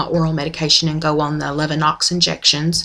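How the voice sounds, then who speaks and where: Against noticeable background noise, a woman speaks with monotone, flat intonation in a strong Oklahoma accent. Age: 40s. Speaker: video blogger, former nurse. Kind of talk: personal video diary. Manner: hesitant, many ums.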